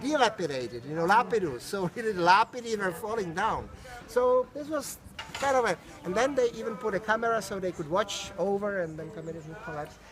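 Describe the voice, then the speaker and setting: Noticeable background noise sits behind a man's high-pitched voice. He talks fairly quickly with lively intonation. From Czech Republic, Prague. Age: 60s. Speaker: tour guide. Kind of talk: guided tour talk. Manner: halting, repeats words.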